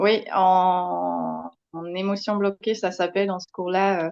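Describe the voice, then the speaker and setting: This is a woman speaking in a fairly low pitch. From Netherlands. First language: Dutch (speaking French). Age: young. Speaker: kinesiology trainer. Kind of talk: interview. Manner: hesitant, many fillers.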